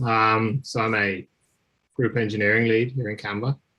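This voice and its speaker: With an Irish accent, a man speaks at a fairly slow pace. His tone is bright and sharp, his pitch fairly low. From Ireland. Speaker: engineering lead giving a guest talk. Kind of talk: guest lecture introduction.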